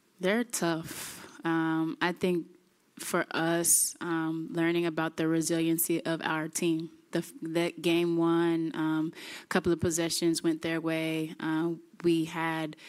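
At a very slow pace, a woman with a fairly low pitch speaks in a monotone, flat delivery against a quiet background. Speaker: basketball head coach. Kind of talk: interview answer. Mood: calm, pleased after series win. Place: hall. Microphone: podium.

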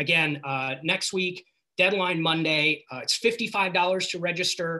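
In a quiet setting, a man talks with fairly flat, even intonation. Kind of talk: announcement on a group call. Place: home room. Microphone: video call.

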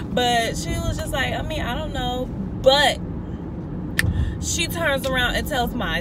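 Loud background noise surrounds a woman speaking at a very slow pace. The sound is dry with no echo. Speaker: vlogger. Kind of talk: casual vlog chat. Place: car. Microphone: phone near.

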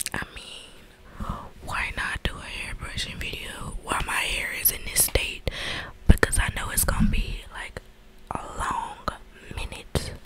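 Whispering and soft-spoken, a woman talks at a fairly slow pace with big swings in loudness. The sound is dry with no echo, over light background noise. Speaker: ASMR creator. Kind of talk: casual ASMR vlog chat. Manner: soft close-mic ASMR whisper. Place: home room. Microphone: studio mic.

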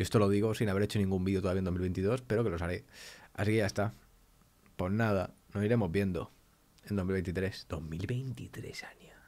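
A man's fairly low-pitched voice at a moderate pace, with long, frequent pauses. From Spain. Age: 20s. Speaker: YouTuber; youtuber. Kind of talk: casual vlog talk to camera. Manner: animated. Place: home room. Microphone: studio mic.

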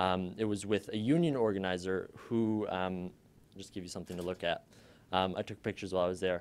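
A man's very deep, low voice at a fairly quick pace, with big swings in loudness. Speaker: undergraduate student and documentary maker; presenter. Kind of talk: student presentation. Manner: casual, upbeat. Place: classroom. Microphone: podium.

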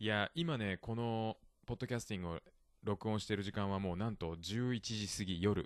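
Against a quiet background, a man with a plain, everyday voice speaks at a moderate pace, fairly low in pitch with ordinary pitch variation. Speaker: podcast host. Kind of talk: casual bilingual chat teaching vocabulary. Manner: laughs often.

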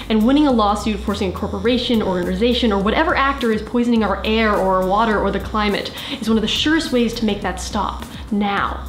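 Over background music and audible room echo, a woman talks at a very fast pace. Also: ordinary pitch variation. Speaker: video creator. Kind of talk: advocacy talk to camera. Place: home room.

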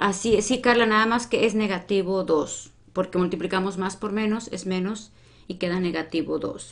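A woman talks at a moderate pace at medium pitch with fairly even intonation, in an ordinary speaking voice. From Mexico. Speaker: math teacher. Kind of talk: live-streamed lesson. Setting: live stream. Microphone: webcam.

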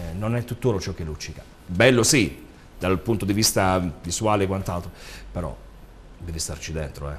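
A man's very deep, low voice at a moderate pace, somewhat breathy, with ordinary pitch variation, long and frequent pauses, big swings in loudness and light background noise. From Apulia, Italy. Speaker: actor and DJ; guest actor. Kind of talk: interview. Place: studio. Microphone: lapel.

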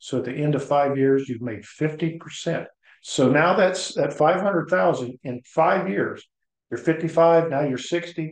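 Against a quiet background with audible room echo, a man speaks very slowly in a fairly high pitch with ordinary pitch variation. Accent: American. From Ohio. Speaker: insurance broker. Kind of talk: sales pitch. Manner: casual. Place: home room. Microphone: webcam.

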